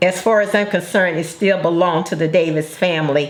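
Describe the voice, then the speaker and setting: Against noticeable background noise, a woman speaks at a fairly low pitch in a monotone with flat intonation. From Arkansas. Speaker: grandmother. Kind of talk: interview answer.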